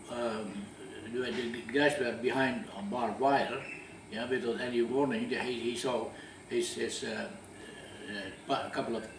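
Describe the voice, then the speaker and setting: With audible room echo and noticeable background noise, a man speaks at a fairly slow pace in a medium pitch, using ordinary pitch variation. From Dutch East Indies (Java, Indonesia). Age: 80s+. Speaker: war witness. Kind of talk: interview testimony. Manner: halting, many repetitions.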